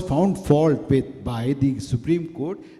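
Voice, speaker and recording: Very slowly, a man speaks in a dark, mellow tone with very wide pitch swings, within audible room echo. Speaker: guest lecturer. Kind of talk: public lecture. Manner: halting, many repetitions and fillers.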